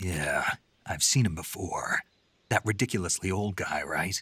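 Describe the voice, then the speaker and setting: A put-on character voice speaks at a moderate pace with ordinary pitch variation in a dry, close sound with no echo. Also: man, very deep, low pitch for a man. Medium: video game. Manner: terse, dry.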